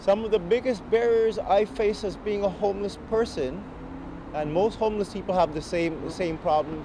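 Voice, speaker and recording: A man talks at a moderate pace with a high pitch and ordinary pitch variation. Noticeable background noise sits behind him. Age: 30s. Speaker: homeless musician. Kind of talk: testimony. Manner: halting.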